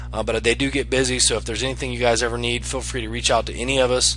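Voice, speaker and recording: A man talks at a very fast pace. Music plays in the background, and the room echo is audible. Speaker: online marketing affiliate. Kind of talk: screen-share tutorial. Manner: hesitant, many fillers.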